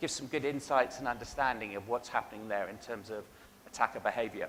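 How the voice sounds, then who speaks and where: Speaking at a very fast pace, a man with an English accent keeps his medium-pitched voice fairly even in intonation. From England. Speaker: cybersecurity vendor keynote speaker. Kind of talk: conference keynote presentation. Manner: hesitant fillers (um, uh).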